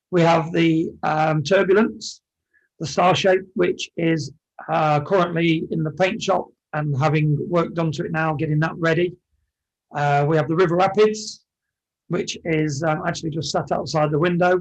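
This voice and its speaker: A man with a high pitch speaks with an English accent. His pace is moderate and his intonation fairly even. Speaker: amusement ride operator. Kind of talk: podcast interview.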